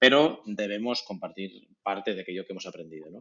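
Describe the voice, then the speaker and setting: The pace is very fast. This man's pitch sits fairly low. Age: 40s. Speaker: podcast host. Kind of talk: interview.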